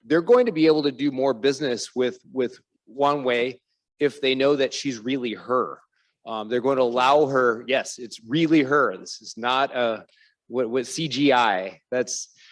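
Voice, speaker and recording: An ordinary speaking voice from a man with an American accent, medium in pitch, with fairly even intonation and a fairly slow pace. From United States. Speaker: fintech executive on a panel. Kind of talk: panel discussion.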